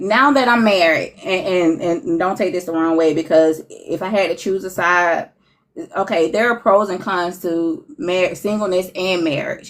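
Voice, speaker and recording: A woman with an unremarkable speaking voice talks at a fairly slow pace in a medium pitch, with ordinary pitch variation. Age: 40s. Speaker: relationship speaker sharing experience. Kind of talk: casual interview chat.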